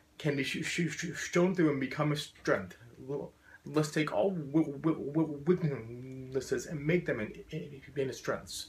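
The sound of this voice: This man has fairly high pitch and ordinary pitch variation, speaking at a fairly slow pace. Audible room echo is present.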